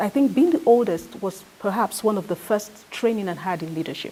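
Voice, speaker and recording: A woman with a Nigerian accent at a fairly quick pace, over noticeable background noise. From Nigeria, Niger Delta. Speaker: activist and former journalist. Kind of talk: interview. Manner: halting, with many repetitions.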